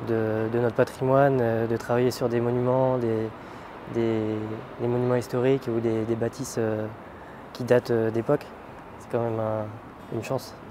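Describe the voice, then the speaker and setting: A man talks in a monotone, flat intonation with long, frequent pauses. Noticeable background noise runs underneath. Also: medium pitch for a man, moderate pace. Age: 20s. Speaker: roofer. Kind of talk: interview. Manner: halting, many hesitations.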